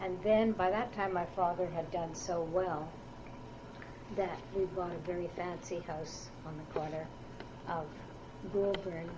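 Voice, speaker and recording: Against noticeable background noise and audible room echo, a woman with a fairly low pitch talks at a fairly slow pace with fairly even intonation and long, frequent pauses. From Ottawa, Canada. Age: 60s. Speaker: oral history interviewee. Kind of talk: oral history interview. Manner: hesitant, with fillers.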